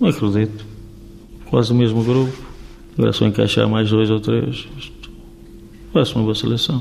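Over noticeable background noise, a man talks at a moderate pace with very even loudness and long, frequent pauses. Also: fairly low pitch for a man, ordinary pitch variation. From Portugal, Vila Real (Trás-os-Montes), raised in Rio de Janeiro until 15. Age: 60s. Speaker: former footballer, youth coach. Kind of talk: radio interview.

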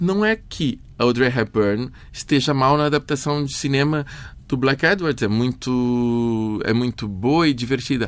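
Male voice, plain and everyday, medium pitch with ordinary pitch variation, fairly slow pace, very clean recording with a silent background. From Brazil, São Paulo. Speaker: filmmaker. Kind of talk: interview.

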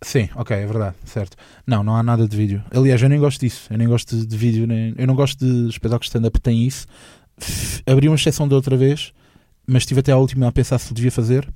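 At a very fast pace, a man speaks with a dark, mellow tone, medium pitch and fairly even intonation. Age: 20s. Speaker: comedian. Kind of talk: casual interview chat. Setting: studio. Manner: halting, repeats words.

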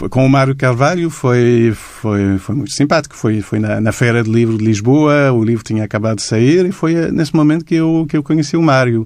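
In a French accent, a man at a medium pitch speaks at a moderate pace with ordinary pitch variation and hardly any pauses. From Quebec, Montreal. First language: French (speaking Portuguese). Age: 50s. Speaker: illustrator. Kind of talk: interview. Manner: halting.

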